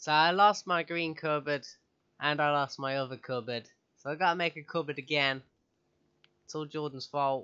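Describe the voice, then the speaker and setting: Bright, sharp tone from a man at fairly high pitch, fairly even intonation, a moderate pace and long, frequent pauses. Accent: British. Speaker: gaming youtuber. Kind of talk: let's play commentary. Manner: casual, frequent laughter.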